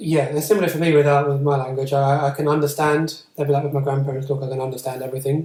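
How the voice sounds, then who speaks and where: At a very fast pace, a man speaks in a fairly high, somewhat breathy voice with monotone, flat intonation. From England. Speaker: tutor and podcast host. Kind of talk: casual chat.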